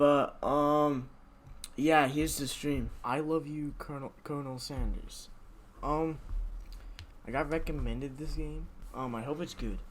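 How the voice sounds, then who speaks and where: The voice is quiet and fairly slow, broken by long, frequent pauses. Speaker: gaming streamer. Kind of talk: game stream commentary.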